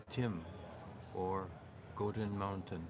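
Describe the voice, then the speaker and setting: Audible room echo surrounds a man speaking slowly-ish at a fairly low pitch, his intonation fairly even. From Canada. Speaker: oral history speaker. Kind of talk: oral history interview. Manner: hesitant with fillers.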